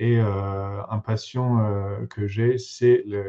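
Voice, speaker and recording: Speaking with an English accent, a man uses a fairly low pitch and fairly even intonation. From England. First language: English (speaking French). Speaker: materials engineer. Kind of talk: conference talk. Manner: halting, many fillers.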